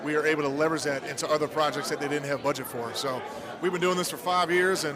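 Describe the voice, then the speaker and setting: A man's fairly high voice amid noticeable background noise and audible room echo. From Louisiana. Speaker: business owner and hockey parent. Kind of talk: casual interview. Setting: live event at ice rink.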